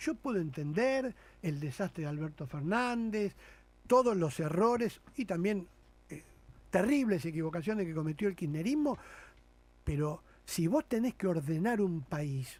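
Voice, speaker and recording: Fairly slow delivery with long, frequent pauses and very wide pitch swings, on a very clean recording with a silent background. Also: man, high pitch for a man. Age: 60s. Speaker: politician. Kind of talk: radio interview. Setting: radio studio. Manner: animated.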